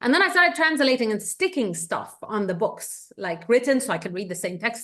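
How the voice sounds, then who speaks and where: Moving at a fairly quick pace, a woman talks with an Egyptian accent. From Egypt, Cairo. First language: Egyptian Arabic. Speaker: economist and researcher. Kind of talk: interview.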